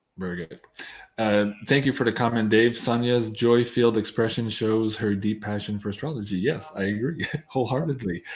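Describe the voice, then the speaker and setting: A normal speaking voice from a man, fairly quick in pace, with ordinary pitch variation. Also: medium pitch for a man. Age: 40s. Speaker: astrologer, show host. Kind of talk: live Q&A interview.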